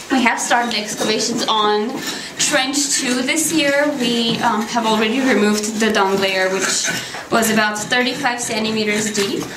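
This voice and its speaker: Ordinary pitch variation marks a woman's speech over noticeable background noise. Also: moderate pace. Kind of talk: interview answer. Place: tunnel cave. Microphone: phone near.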